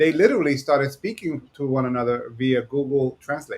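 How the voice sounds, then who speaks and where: A man with an American accent talks at a fairly quick pace. His pitch is fairly high. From New York. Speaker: podcast co-host. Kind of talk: casual podcast chat. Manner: fast.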